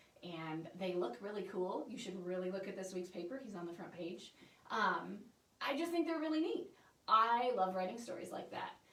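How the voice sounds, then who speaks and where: A woman's medium-pitched, animated voice with lively intonation, plus audible room echo and noticeable background noise. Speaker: newspaper reporter. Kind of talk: informational presentation. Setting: Facebook livestream. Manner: fast.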